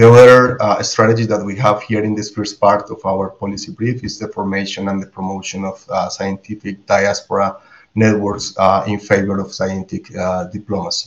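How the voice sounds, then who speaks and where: Here a man with a Spanish accent speaks at a moderate pace and fairly low pitch. His intonation is monotone and flat. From Colombia. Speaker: biologist and behavioral scientist. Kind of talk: roundtable discussion.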